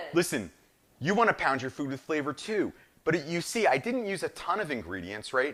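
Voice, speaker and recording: A man with a New Jersey accent speaks at a fairly quick pace in a fairly high pitch, his tone animated, enthusiastic, bright and sharp. Vocal fry and very wide pitch swings mark his voice, recorded very cleanly against a silent background. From northern New Jersey. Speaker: chef, cooking show host. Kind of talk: live cooking show demonstration. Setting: live streamed cooking show.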